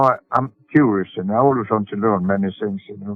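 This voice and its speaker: A man speaks at a fairly slow pace with a Swedish accent and lively intonation. Music plays in the background. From Sweden. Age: 80s+. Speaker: sailor and boatbuilder. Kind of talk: interview answer.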